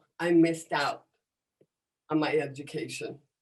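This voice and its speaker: Animated in tone, a woman with an American accent speaks in a fairly low voice. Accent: American English with deaf speech features. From United States. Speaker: comedian and motivational speaker. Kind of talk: talk to an audience.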